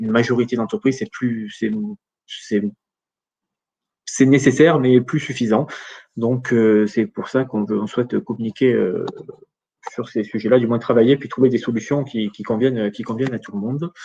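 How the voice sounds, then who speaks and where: At a moderate pace with long, frequent pauses, a man talks in a dark, mellow tone at medium pitch with fairly even intonation. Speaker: data protection regulator expert. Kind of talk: webinar Q&A. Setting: online webinar. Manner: halting, many fillers.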